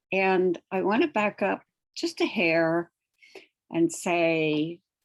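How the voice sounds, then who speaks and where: A woman talks at a very slow pace. Her pitch sits in the medium range with ordinary variation. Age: 70s. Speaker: meditation group participant. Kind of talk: sharing in online meditation group. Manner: hesitant, with filler sounds.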